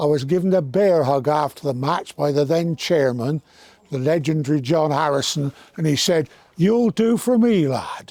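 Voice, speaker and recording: A man's fairly high-pitched voice in a dark, mellow tone. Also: moderate pace. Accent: Somerset. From Somerset, southwest England. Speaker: former teacher and rugby club stalwart. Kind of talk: interview reminiscence.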